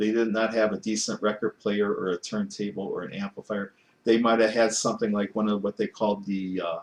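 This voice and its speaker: A man's fairly low voice in a monotone, flat intonation. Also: fairly quick pace. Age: 60s. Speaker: vinyl record collector YouTuber. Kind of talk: casual vlog monologue. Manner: halting, many false starts.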